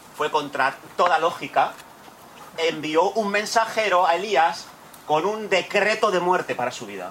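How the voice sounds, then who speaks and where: With noticeable background noise behind him, a man talks at a fairly slow pace in a high pitch with ordinary pitch variation. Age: 40s. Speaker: pastor. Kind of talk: sermon. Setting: church retreat.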